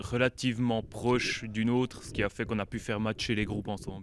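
Over light background noise, a man speaks in a flat monotone, the sound dry with no echo. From French-speaking Switzerland. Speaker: metal band member. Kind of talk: band interview. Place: hall. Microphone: handheld.

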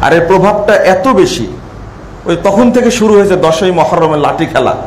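A man speaks with ordinary pitch variation. Audible room echo and light background noise surround his voice. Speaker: speaker. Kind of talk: sermon. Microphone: lapel.

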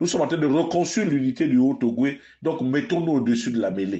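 A man talks with lively intonation. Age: 50s. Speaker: political commentator. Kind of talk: political address to followers. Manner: impassioned.

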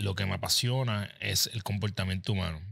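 Over a quiet background, a man speaks in a normal speaking voice, fairly low, with fairly even intonation. The sound is dry with no echo. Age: 40s. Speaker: podcast host and habits coach; podcast host, habits coach. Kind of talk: interview podcast. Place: studio. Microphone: studio mic.

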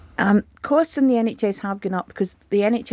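The voice shows ordinary pitch variation, and the sound is dry with no echo. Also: woman. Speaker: guest. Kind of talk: interview answer. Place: studio. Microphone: studio mic.

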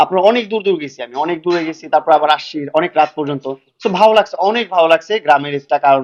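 Male speaker with a plain, everyday voice, fairly high pitch, ordinary pitch variation and big swings in loudness, in a dry, close sound with no echo. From Bangladesh, Dhaka. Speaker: social media creator. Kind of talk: interview.

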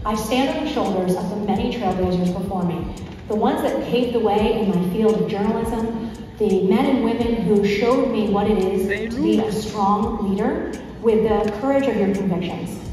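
Strong room echo and noticeable background noise fill the clip. A woman speaks at a moderate pace with fairly even intonation. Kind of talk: acceptance speech. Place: hall.

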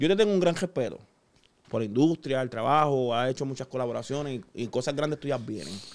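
A man speaks in a Puerto Rican accent with lively intonation. His pace is fairly quick, and the recording is very clean with a silent background. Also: medium pitch for a man. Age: 30s. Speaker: chef. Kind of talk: casual chat. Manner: animated.

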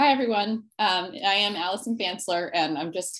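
A woman speaks in a normal speaking voice at a moderate pace, with ordinary pitch variation. The background is quiet. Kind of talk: presentation talk. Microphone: video call.

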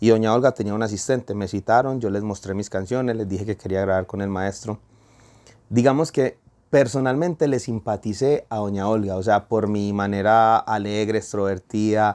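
Quiet background behind speech at a moderate pace with ordinary pitch variation. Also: man, fairly low pitch for a man. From Colombia. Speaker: urban music singer; guest. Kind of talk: interview. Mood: warm, animated storytelling. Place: studio. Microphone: lapel.

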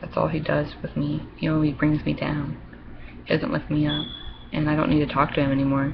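Noticeable background noise sits under a woman talking at a fairly quick pace. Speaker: vlogger. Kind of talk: casual webcam monologue, reading aloud and rambling. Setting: webcam video, home. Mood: upset about relationship. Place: home room. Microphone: webcam.

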